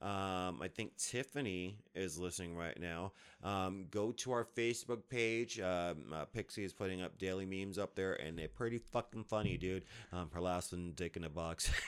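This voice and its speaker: With an American accent, a man speaks at a moderate pace in a very deep, low pitch with ordinary pitch variation. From New Jersey / New York area. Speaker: podcast co-host. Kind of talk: casual chat.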